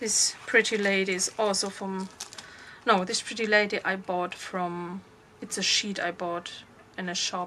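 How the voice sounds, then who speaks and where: A woman speaks with a German accent at a fairly slow pace. Her intonation stays monotone and flat, with noticeable background noise behind her. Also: medium pitch for a woman. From Germany. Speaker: crafter showing her handmade journal. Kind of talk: craft show-and-tell tutorial. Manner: halting, many fillers.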